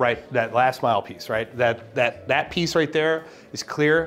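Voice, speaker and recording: A man speaks with lively intonation. Light background noise is audible. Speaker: industry tech video host. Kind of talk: casual interview on a site tour. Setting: on location at a company office. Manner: animated. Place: meeting room. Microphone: lapel.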